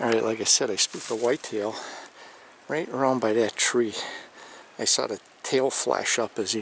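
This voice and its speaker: A man's medium-pitched voice with an American accent, fairly even intonation, a moderate pace and long, frequent pauses, over noticeable background noise. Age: 60s. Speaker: hunting vlogger. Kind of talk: outdoor vlog narration. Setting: outdoors in a hunting blind.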